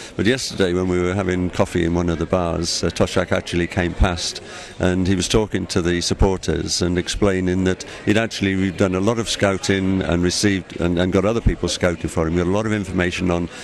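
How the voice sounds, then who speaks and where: This man speaks very fast with a Cardiff accent and a very deep, low pitch. His intonation is monotone and flat, over noticeable background noise. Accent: Welsh (Cardiff). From Wales, Cardiff. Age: 60s. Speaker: football fan. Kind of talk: interview. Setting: airport.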